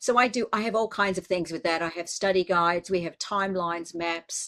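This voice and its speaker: A woman talks fairly quickly with an Australian accent. Her pitch is medium and her intonation fairly even. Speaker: biblical scholar. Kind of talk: casual chat.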